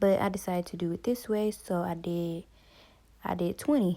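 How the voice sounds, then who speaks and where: The tone is dark and mellow. Intonation stays fairly even at a moderate pace. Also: woman. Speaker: crochet content creator. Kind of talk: tutorial. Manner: casual, with many fillers.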